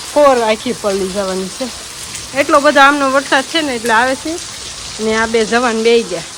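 Over noticeable background noise, a woman talks at a fairly high pitch with ordinary pitch variation. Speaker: vlogger. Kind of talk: casual vlog narration.

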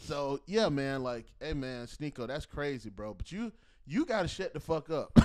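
Over a quiet background, a man's animated voice at a moderate pace, fairly high in pitch, with lively intonation. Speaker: podcast host. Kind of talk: casual chat. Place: home room. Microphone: handheld.

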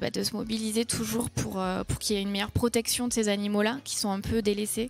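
A woman speaks quickly at a medium pitch, with little pitch movement and some vocal fry.

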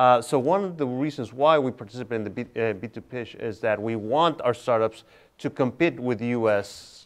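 A man with a Spanish accent at a moderate pace, against a quiet background. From Tijuana, Mexico; Mexico. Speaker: tech incubator director; panelist. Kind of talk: panel discussion. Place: hall. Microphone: lapel.

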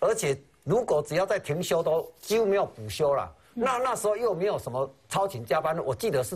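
The pace of this man's speech is fairly quick. His pitch moves in very wide swings. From Taiwan. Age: 50s. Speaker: retired firefighter, pension protester; talk show guest. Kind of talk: TV talk show interview. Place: studio. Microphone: lapel.

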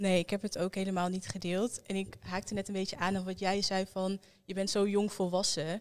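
At a fairly quick pace, a woman speaks in a monotone, flat intonation over a quiet background. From Netherlands, Almelo (Twente); Netherlands. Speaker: young guest sharing experience; interview guest. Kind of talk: group conversation. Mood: reflective, calm. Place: studio. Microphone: handheld.

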